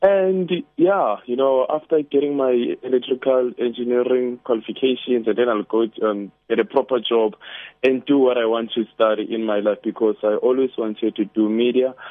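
Speaking with a plain, everyday voice, a man keeps a moderate pace and a medium pitch with ordinary pitch variation. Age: 20s. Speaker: caller. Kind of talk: casual chat. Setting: phone call.

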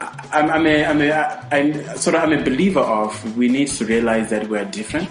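Against noticeable background noise, a man with a fairly high voice talks at a moderate pace with lively intonation, very even loudness and hardly any pauses. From Zimbabwe. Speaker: radio host. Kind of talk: radio talk show interview. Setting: studio.

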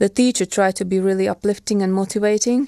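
Speaking with a Ukrainian accent, a woman with a medium pitch and a dark, mellow tone talks at a fairly quick pace. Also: quiet background. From Ukraine. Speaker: war refugee. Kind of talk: testimony. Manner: halting.

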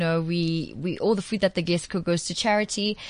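A woman with a plain, everyday voice, medium pitch and ordinary pitch variation. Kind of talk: casual chat.

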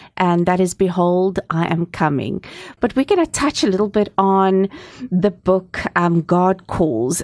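A woman speaks in a normal speaking voice at medium pitch and a fairly slow pace, with ordinary pitch variation, very even loudness, and a dry, close sound with no echo over a quiet background. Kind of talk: radio interview. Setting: studio.

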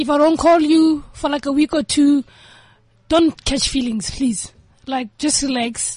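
Speaking at a fairly slow pace, a woman uses a high pitch with ordinary pitch variation, recorded with a dry, close sound and no echo. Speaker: friend guest on show. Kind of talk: casual chat. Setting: studio.

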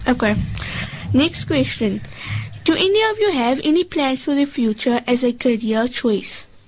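Music plays in the background as a woman speaks in a high voice with lively intonation. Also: long, frequent pauses, very even loudness. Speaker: radio host. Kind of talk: radio interview with children. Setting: studio.

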